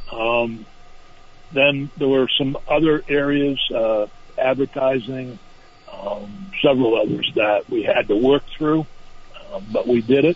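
Over noticeable background noise, a man at a medium pitch speaks at a very slow pace with ordinary pitch variation and long, frequent pauses. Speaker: state senator. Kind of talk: interview.

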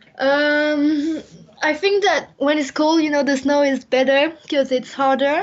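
With a French accent, a woman talks at a fairly slow pace and high pitch, her intonation fairly even and her loudness very even. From France. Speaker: Olympic skier. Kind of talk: interview. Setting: phone call. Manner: halting.

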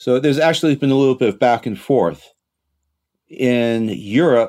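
A man with a plain, everyday voice and an American accent, ordinary pitch variation, a fairly quick pace, and a very clean recording with a silent background. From United States. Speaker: teacher at an international school, podcast co-host. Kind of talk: casual discussion.

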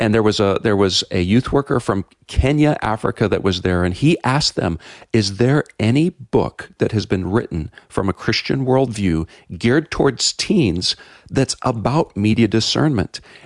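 At a moderate pace and medium pitch, a man speaks in an unremarkable speaking voice with lively intonation and very even loudness, the sound dry and close with no echo against a quiet background. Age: 50s. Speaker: pastor, author and filmmaker. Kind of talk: radio interview.

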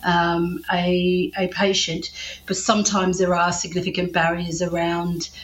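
A woman with an Australian accent and monotone, flat intonation, over noticeable background noise. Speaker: health professor and breast cancer survivor. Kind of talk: interview.

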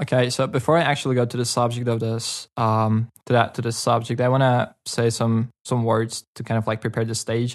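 Using monotone, flat intonation, a man speaks at a fairly quick pace. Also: medium pitch for a man, hardly any pauses. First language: Karachay. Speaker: local guest. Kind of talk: casual chat.

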